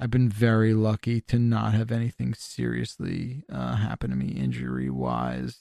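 Recorded dry and close with no echo, a man speaks at a moderate pace in a fairly low pitch with very wide pitch swings. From New Jersey. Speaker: video game media personality. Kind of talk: casual interview. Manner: animated.

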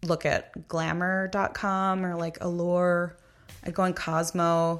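In a very clean recording with a silent background, a woman with an American accent speaks at a fairly low pitch with monotone, flat intonation. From Long Island, New York. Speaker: comedy writer. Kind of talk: casual interview.

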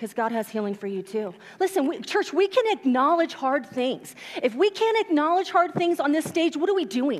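Loud and animated, a woman talks at a high pitch with very wide swings, keeping a moderate pace and an energetic tone over noticeable background noise. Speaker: pastor. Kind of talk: sermon. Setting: church. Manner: loud, animated; informal, energetic.

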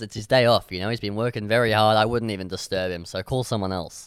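Very cleanly recorded against a silent background, a man speaks in an animated tone. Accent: Australian. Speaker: radio comedy host. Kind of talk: casual radio chat. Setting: radio studio. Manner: rambling, animated.

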